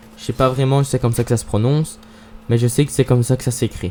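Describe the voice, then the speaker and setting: A man with a dark, mellow tone talks at a medium pitch, his intonation fairly even. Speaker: gaming YouTuber. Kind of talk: gameplay commentary vlog.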